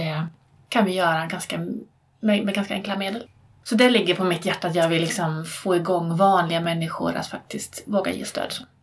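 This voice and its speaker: A woman talks at a moderate pace with fairly even intonation. Noticeable background noise sits behind her. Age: 40s. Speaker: therapist and teacher. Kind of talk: interview.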